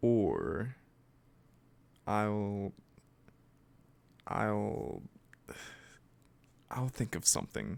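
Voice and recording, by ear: In a put-on character voice, a man speaks at a fairly low pitch with vocal fry, a slightly mellow tone, big pitch swings, a very slow pace and long, frequent pauses.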